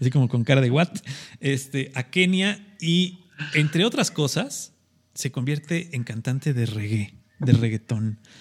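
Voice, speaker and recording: A man with a Mexican accent speaks at a fairly slow pace in a fairly high, somewhat breathy voice with lively intonation. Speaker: radio co-host. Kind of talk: casual chat. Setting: video call.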